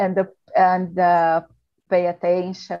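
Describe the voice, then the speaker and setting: A woman with a Brazilian Portuguese accent speaks at a medium pitch. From Brazil, Sao Paulo. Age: 40s. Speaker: procurement manager. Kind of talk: casual English practice conversation. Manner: halting, many fillers.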